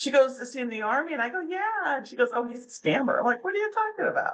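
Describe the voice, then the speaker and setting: A woman's voice with a bright, sharp tone. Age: 60s. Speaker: anti-scam blogger. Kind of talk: interview. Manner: casual.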